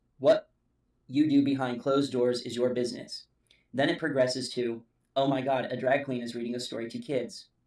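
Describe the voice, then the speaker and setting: A man speaks at a medium pitch. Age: 40s. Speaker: YouTuber commentator. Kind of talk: personal commentary monologue.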